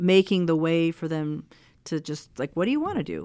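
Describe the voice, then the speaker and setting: In an unremarkable speaking voice, a woman with a fairly low pitch and an American accent talks with fairly even intonation on a very clean recording with a silent background. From Mexico and Texas. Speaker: wildlife research scientist. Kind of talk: interview conversation.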